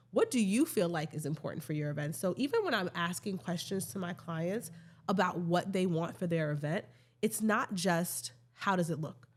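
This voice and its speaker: A woman speaks at a fairly low pitch in an American accent, somewhat breathy, with ordinary pitch variation. The recording is very clean, with a silent background. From New York. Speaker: event planner. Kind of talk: casual chat. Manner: fast.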